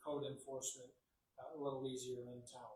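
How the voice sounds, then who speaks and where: A soft-spoken man talks in a somewhat breathy voice amid audible room echo. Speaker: city attorney. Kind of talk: council meeting report. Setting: city council meeting room. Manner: hesitant, many fillers.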